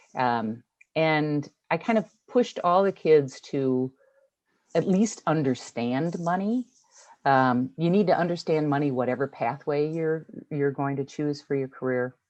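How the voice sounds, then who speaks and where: Her voice is very deep and low, and this woman speaks at a fairly slow pace with lively intonation. The background is quiet. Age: 60s. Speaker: retired hospital system executive. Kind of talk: Q&A session.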